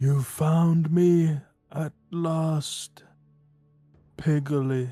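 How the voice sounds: The speaker uses a put-on character voice at a middle pitch. Faint music plays in the background.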